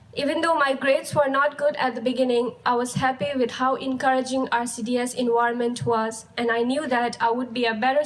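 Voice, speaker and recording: Amid noticeable background noise, a woman with a Ladakhi accent speaks fairly quickly in a high pitch with fairly even intonation. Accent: Ladakhi Indian English. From Ladakh, India. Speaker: high school graduate. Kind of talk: graduation speech.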